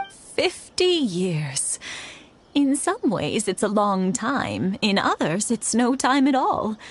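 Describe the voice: A slow, put-on character voice with big pitch swings and a slightly husky edge. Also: woman, fairly high pitch for a woman.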